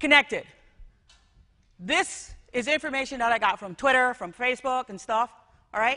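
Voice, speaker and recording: A woman with a Jamaican accent talks in a bright, sharp tone with ordinary pitch variation over a quiet background. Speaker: school technology director. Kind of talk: conference talk.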